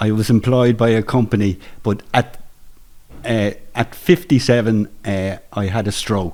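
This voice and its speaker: A man with an Irish accent and a fairly low pitch speaks at a fairly slow pace. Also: ordinary pitch variation. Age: 60s. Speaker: retiree, men's shed member. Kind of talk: testimony. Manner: halting.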